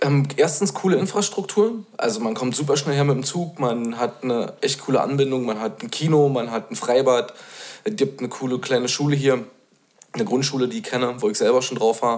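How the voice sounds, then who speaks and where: A normal speaking voice from a man at medium pitch, with lively intonation and a fairly quick pace. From Bad Belzig, Brandenburg. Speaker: guest, returning resident. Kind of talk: casual chat.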